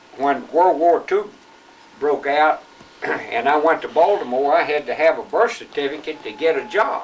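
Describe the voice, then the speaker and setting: Over noticeable background noise, a man with a Southern US accent speaks at a moderate pace in a fairly high pitch with ordinary pitch variation. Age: 70s. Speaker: grandfather. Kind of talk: family interview. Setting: home video recording.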